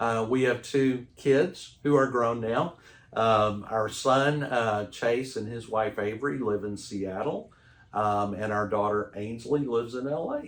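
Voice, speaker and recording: A fairly slow pace with a Texan accent. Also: man, medium pitch for a man, ordinary pitch variation. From Texas. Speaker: roofing company sales manager. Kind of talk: interview. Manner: hesitant, many fillers.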